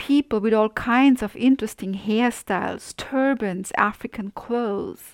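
A woman speaks slowly, somewhat below average speed, with fairly high pitch and fairly even intonation. The recording is very clean with a silent background and a dry, close sound without echo. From Austria. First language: German. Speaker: podcast host. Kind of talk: scripted narration.

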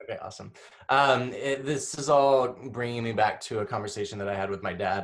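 An unremarkable speaking voice from a man, medium in pitch, with ordinary pitch variation and a fairly quick pace. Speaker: actor and director. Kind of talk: panel discussion. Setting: video call.

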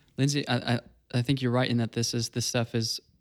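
In a dry, close sound with no echo, a man delivers flat, monotone speech at a medium pitch with a Southern US accent. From US South. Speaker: enneagram coach. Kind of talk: casual chat.

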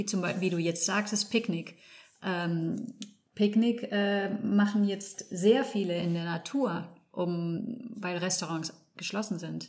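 Medium-pitched woman's voice at a very slow pace. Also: ordinary pitch variation. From Spain, Barcelona (German parents). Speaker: landscape architect. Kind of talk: interview. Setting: studio. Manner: halting, searching for words.

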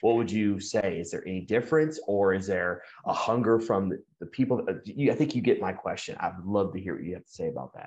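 The man has a normal speaking voice at medium pitch, with ordinary pitch variation. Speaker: podcast co-host. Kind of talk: casual faith chat.

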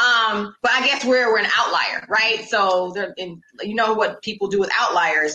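Ordinary pitch variation in a woman's ordinary speaking voice. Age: 40s. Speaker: educator, podcast host. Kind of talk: interview.

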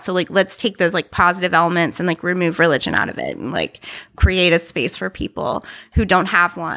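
A woman's voice has a bright, sharp tone with vocal fry. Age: 30s. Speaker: musician and interfaith community worker. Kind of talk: casual chat.

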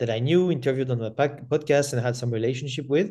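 With a French accent, a man talks very fast in a dark, mellow tone with ordinary pitch variation. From France. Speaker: podcast host. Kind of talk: interview. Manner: halting.

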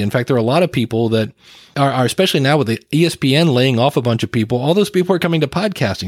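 Dry and close with no echo, the clip features a man with a fairly high pitch and a plain, everyday voice. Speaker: podcast coach and trainer. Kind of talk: casual interview conversation. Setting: remote call recording.

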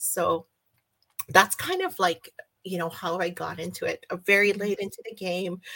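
A woman's fairly slow speech in a dry, close sound with no echo. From Canada. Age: 50s. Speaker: fanfic reader and book club moderator. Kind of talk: casual chat. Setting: video call. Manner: halting, many fillers.

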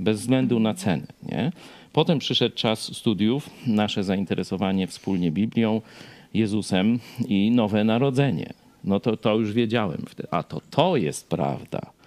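A man with a fairly low pitch, lively intonation and a fairly slow pace. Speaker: pastor and TV host. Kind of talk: casual chat. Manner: loud, often raised voice.

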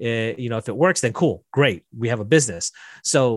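A man with an American accent at a medium pitch and moderate pace, a normal speaking voice, in a dry, close sound with no echo. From Las Vegas, US. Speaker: software developer, business owner. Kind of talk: casual interview.

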